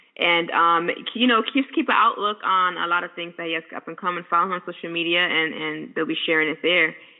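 The speech comes at a fairly quick pace with hardly any pauses. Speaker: radio interviewer. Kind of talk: radio interview, casual chat.

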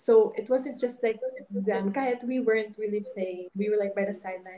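With a Filipino accent, a woman speaks at a medium pitch in a dark, mellow tone with fairly even intonation. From Philippines. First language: Ilonggo. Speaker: retired volleyball player, fashion student. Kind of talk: casual interview chat, Taglish. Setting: podcast studio.

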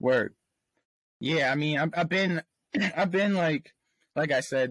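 Over a very clean, silent background with a dry, close sound and no echo, a man with an American accent and a plain, everyday voice talks at a moderate pace with ordinary pitch variation. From Pennsylvania, US. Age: 20s. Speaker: rapper. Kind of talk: casual interview.

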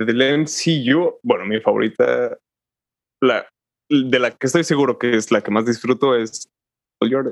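Recorded dry and close with no echo, a man speaks at a fairly slow pace and a medium pitch with ordinary pitch variation, leaving long, frequent pauses. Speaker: podcast co-host. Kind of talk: casual chat.

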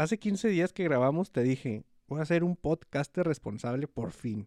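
Speaking with a Mexican accent, a man with a fairly high pitch talks at a fairly slow pace with lively intonation, the sound dry and close with no echo over a quiet background. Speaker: podcast co-host. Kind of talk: casual chat.

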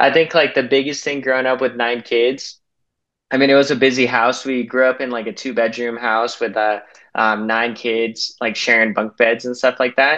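Against a quiet background, the speaker uses a bright, sharp tone, a General American accent and fairly even intonation. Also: man, medium pitch for a man, moderate pace. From Salt Lake City, Utah. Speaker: sales manager. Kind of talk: casual interview chat.

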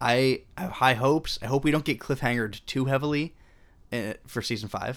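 The recording is very clean, with a silent background. A normal speaking voice goes at a fairly quick pace, its pitch varying in an ordinary way. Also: man, medium pitch for a man. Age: 20s. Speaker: film podcast co-host. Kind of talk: casual chat.

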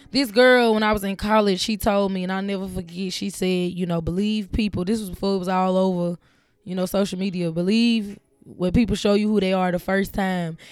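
Her pitch medium, a woman talks at a fairly quick pace. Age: 20s. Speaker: podcast host. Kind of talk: solo monologue. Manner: animated.

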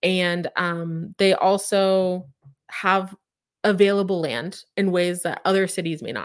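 On a very clean recording with a silent background, a woman with an unremarkable speaking voice talks at a fairly slow pace, medium pitch and ordinary pitch variation. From Oklahoma, Claremore near Tulsa. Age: 30s. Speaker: real estate agent. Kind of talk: live stream talk. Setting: live YouTube stream. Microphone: close, good mic.

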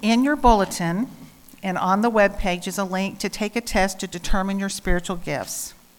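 An ordinary speaking voice from a woman, medium in pitch, at a moderate pace with ordinary pitch variation. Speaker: lay worship leader. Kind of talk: scripture reading. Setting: church.

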